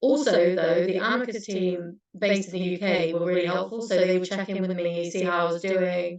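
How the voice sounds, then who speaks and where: With a British accent, the speaker talks at a fairly quick pace with fairly even intonation and hardly any pauses. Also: woman, medium pitch for a woman. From UK. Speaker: former intern at a legal charity. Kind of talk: panel Q&A answers.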